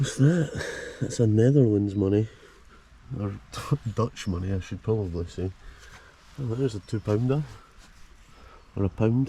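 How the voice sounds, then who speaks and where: Speaking with a Scottish accent, a man with a fairly low voice leaves long, frequent pauses. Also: ordinary pitch variation, moderate pace. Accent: Scottish (Fife). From Scotland, Fife. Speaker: travel vlogger. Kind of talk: casual vlog narration. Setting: outdoors. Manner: animated.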